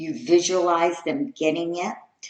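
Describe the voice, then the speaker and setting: At a very slow pace, a woman speaks at a medium pitch with very wide pitch swings. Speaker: spiritual teacher giving a talk. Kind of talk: spiritual discourse.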